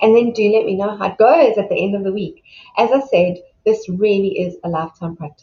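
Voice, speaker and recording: At medium pitch, a woman speaks in a warm, somewhat breathy tone. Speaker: self-love coach. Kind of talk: motivational talk. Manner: warm, encouraging.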